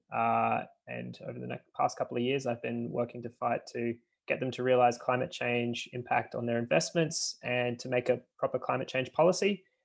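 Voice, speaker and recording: This man keeps a moderate pace. He has an Australian accent. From Australia, Brisbane. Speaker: climate activist. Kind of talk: online panel discussion.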